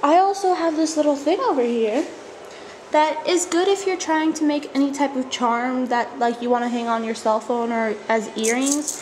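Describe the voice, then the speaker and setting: Amid noticeable background noise, a woman speaks at a moderate pace with a high pitch and lively intonation. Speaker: craft video maker. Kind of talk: tutorial. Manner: casual, filler-heavy.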